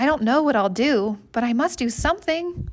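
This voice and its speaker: In a put-on character voice, a woman talks at a moderate pace with high pitch, lively intonation and very even loudness. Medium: read story.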